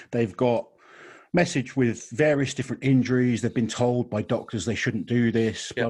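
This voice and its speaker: A man talks fairly quickly at medium pitch in a normal speaking voice. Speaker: podcast host. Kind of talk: casual chat.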